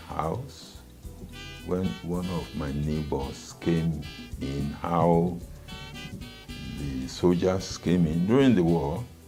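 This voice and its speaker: Over music in the background, a man with a very deep, low pitch speaks at a very slow pace with lively intonation and long, frequent pauses. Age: 80s+. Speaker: highlife musician. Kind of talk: interview answer.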